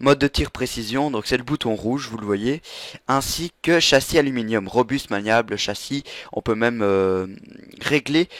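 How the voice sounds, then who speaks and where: Ordinary pitch variation comes through on a very clean recording with a silent background and a dry, close sound with no echo. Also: man. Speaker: tech product reviewer. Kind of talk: product review tutorial. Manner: fast; halting.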